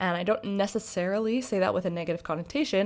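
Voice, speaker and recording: The woman has an unremarkable speaking voice at medium pitch. Her intonation is lively. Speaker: podcast host and mentor. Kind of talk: solo monologue podcast.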